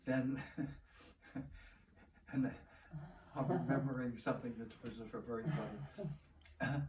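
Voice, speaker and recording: A man talks at a very slow pace, his pitch sitting in the medium range with ordinary variation. Noticeable background noise runs underneath. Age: 80s+. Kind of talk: interview answer. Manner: humorous storytelling.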